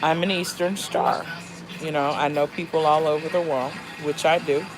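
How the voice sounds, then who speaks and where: A woman with an American accent speaks at a moderate pace in a very deep, low pitch. Music plays in the background. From Fort Lauderdale, Florida. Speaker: YouTuber. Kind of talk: casual vlog monologue. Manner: conversational with many fillers (um).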